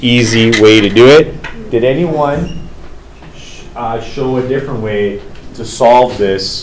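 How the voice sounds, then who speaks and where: Room echo and noticeable background noise surround a man speaking at a very slow pace. His loudness swings widely while his pitch varies in an ordinary way. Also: medium pitch for a man. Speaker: teacher. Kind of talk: classroom discussion. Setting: classroom.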